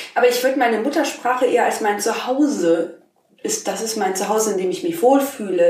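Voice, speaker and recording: Against audible room echo, a woman speaks at a fairly quick pace with lively intonation. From Germany, Rhineland-Palatinate, small village. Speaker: podcast co-host. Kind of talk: casual chat.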